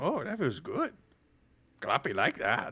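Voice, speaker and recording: Using a put-on character voice, a man performs. He keeps to a fairly slow pace. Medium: actual play. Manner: speaks in third person.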